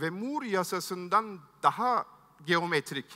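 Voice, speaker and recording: Against a quiet background, the voice has a bright, sharp tone and lively intonation. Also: man. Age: 50s. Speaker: tech entrepreneur, keynote speaker; keynote speaker. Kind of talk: keynote speech. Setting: stage with audience. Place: stage. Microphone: headset.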